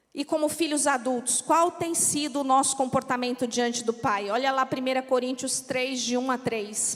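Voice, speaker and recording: A woman with a São Paulo accent speaks at a fairly slow pace and a high pitch, her intonation fairly even, over noticeable background noise. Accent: São Paulo accent, noticed by locals. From São Paulo, Brazil. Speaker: pastor's wife, preacher. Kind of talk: sermon. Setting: church.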